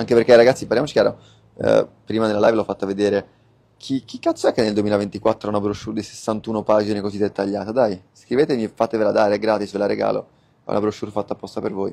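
This man talks at a very fast pace with a fairly low pitch. His tone is dark and mellow. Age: 20s. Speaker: online business coach. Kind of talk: live stream Q&A. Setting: live stream. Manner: animated.

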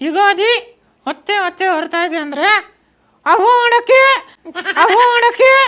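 Putting on a character voice, a man speaks fairly slowly at an extremely high pitch.

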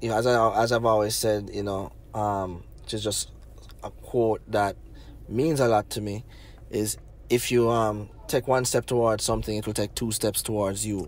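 A man talks at a moderate pace with a Jamaican accent. His pitch sits fairly low and his intonation stays fairly even. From Jamaica, Negril, Westmoreland. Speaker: filmmaker. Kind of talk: interview.

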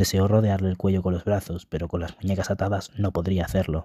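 A man with a very deep, low pitch and a dark, mellow tone talks at a fairly quick pace in a monotone, flat delivery. His voice is somewhat breathy on a very clean recording with a silent background. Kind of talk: audiobook reading aloud of a fantasy novel.

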